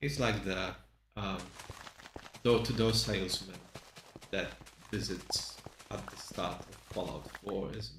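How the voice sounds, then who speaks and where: Amid noticeable background noise and audible room echo, a man talks at a fairly low pitch and fairly slow pace, with ordinary pitch variation and long, frequent pauses. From Poland. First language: Polish. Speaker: streamer. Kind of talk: casual gameplay commentary.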